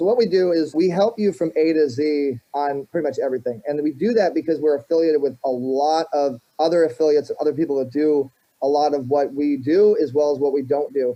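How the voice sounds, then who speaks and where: Here a man speaks with a fairly high pitch. His tone is dark and mellow, with ordinary pitch variation. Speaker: marketing entrepreneur and show host. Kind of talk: interview. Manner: fast; animated.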